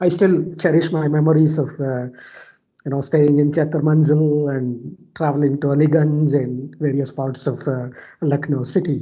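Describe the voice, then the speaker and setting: Somewhat breathy and fairly high in pitch, a man speaks at a moderate pace in a monotone, flat intonation. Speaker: scientist. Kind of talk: webinar talk. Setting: video call.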